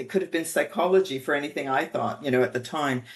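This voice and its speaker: A woman with a slight French Canadian accent and lively intonation, against a quiet background. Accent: little trace of French Canadian. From Quebec, Montreal. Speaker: bioethicist. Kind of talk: interview.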